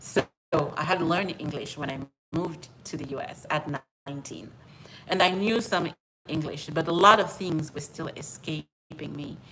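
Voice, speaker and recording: At a moderate pace, a woman with a very deep, low pitch and ordinary pitch variation speaks with big swings in loudness and long, frequent pauses. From outside the US, French-speaking. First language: French. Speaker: personal finance YouTuber. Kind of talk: live stream monologue. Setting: at home. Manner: repetitive, conversational.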